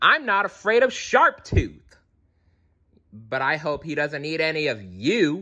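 Putting on a character voice, a man with a fairly high pitch and a bright, sharp tone speaks at a fairly slow pace with big pitch swings.

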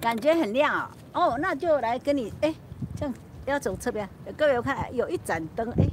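Speaking at a fairly quick pace with long, frequent pauses, a woman's high-pitched voice sounds dry with no echo amid noticeable background noise. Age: old. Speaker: YouTuber livestreaming. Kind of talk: casual livestream chat. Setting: outdoors on a rooftop at night. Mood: relaxed, chatty, late night.

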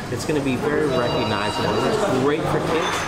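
A man's voice over loud background noise. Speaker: food reviewer host. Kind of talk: review summary to camera. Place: cafe. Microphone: camera far.

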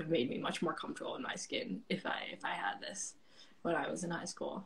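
With an American accent, a woman talks at a moderate pace and a fairly low pitch over light background noise. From US Midwest (suburbs of Detroit). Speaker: actor. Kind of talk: casual chat. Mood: warm, relaxed. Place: home room. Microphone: phone near.

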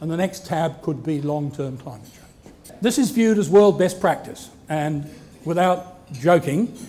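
Speaking at a fairly slow pace, a man with a high pitch uses lively intonation and big swings in loudness. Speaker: marine geologist and professor. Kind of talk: lecture talk. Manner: soft-spoken. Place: hall.

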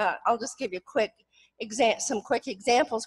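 With a quiet background behind her, a woman talks at a moderate pace using ordinary pitch variation. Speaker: retired professor, author; retired professor. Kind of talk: academic presentation. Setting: stage with audience. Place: hall.

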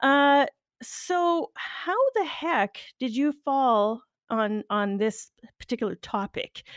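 In a dry, close sound with no echo, a woman speaks at a very slow pace with a high pitch and lively intonation. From Northern Ontario, Canada. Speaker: podcast host. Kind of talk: casual interview chat. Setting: video call. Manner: animated.

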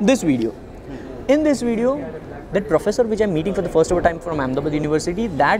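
He talks very fast. Behind his voice there is noticeable background noise. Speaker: guest. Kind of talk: interview answer. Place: hall.

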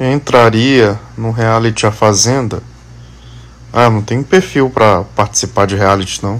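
Speaking fairly slowly, a man uses a medium pitch with ordinary pitch variation. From Maranhão, São Luís (Brazil); Maranhão, Brazil. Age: 30s. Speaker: social media influencer. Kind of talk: casual Q&A video answering followers. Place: home room. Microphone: phone near.

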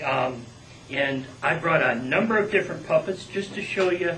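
A man's high-pitched voice with ordinary pitch variation over light background noise. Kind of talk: casual talk to audience. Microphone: camera far.

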